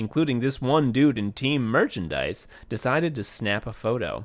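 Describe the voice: The clip is plain reading aloud. The voice simply reads the text.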